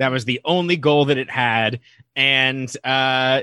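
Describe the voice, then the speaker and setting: A man with an American accent has a normal speaking voice at medium pitch. He talks at a fairly slow pace with fairly even intonation. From Nevada. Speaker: podcast co-host. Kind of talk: casual chat.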